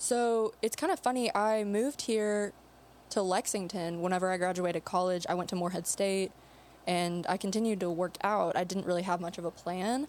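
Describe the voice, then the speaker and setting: A woman speaks in an ordinary speaking voice at a medium pitch. Her pitch varies in an ordinary way. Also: moderate pace. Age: 20s. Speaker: nurse and powerlifter. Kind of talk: casual chat. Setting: studio.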